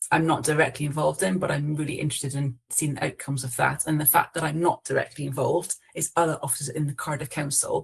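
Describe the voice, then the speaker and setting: The speech comes at a very fast pace in a Scottish accent. There are hardly any pauses. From Scotland. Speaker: council officer. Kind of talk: online panel discussion. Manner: hesitant, many fillers and self-corrections.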